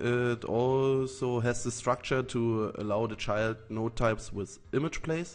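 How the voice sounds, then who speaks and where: A man with a German accent, music in the background. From Germany. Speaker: software developer. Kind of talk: tutorial. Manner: halting.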